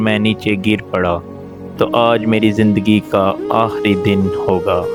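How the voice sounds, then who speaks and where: A man is speaking. Music plays in the background. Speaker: storyteller. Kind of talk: moral story narration.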